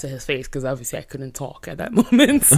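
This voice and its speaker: A woman speaks at a very fast pace in an animated tone. Her pitch is very deep and low. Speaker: pop culture correspondent. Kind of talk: casual chat. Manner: loud.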